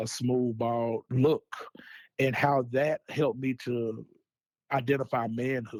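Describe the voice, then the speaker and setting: Pitched in the medium range, a man speaks with an American accent in a plain, everyday voice. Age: 30s. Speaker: social entrepreneur, mental health advocate. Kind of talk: interview.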